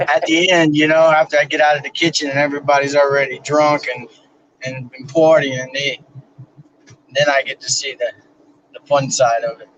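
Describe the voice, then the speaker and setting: Delivered at a moderate pace with long, frequent pauses, a man's fairly high voice stays monotone and flat while its loudness swings widely. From Louisiana. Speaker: livestream guest. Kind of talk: casual chat.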